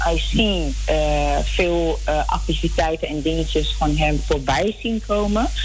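The voice moves at a very slow pace with hardly any pauses. Audible room echo and noticeable background noise surround it. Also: woman. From Amsterdam Zuidoost, Netherlands. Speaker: church elder. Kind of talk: radio interview.

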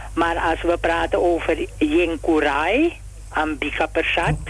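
The pace is very slow. Background noise is noticeable. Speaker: brother of a deceased athlete. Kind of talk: radio interview. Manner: halting.

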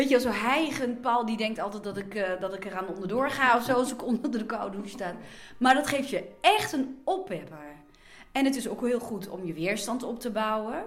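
Audible room echo surrounds a woman whose fairly high voice has lively intonation. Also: moderate pace. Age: 50s. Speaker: blogger and magazine writer. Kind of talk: interview.

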